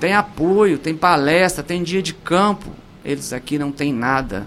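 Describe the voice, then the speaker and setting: A man is speaking. His pace is very slow. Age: 50s. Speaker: mayoral candidate. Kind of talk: political radio interview. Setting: radio studio. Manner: animated.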